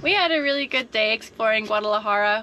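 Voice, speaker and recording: Over light background noise, a woman speaks at a fairly quick pace with lively intonation. The sound is dry, with no echo. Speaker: travel vlogger. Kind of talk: casual vlog chat. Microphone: phone near.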